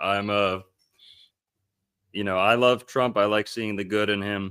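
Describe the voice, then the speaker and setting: A man with a bright, sharp tone is heard in a very clean recording with a silent background. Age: 20s. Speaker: history researcher and bookstore owner. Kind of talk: casual chat.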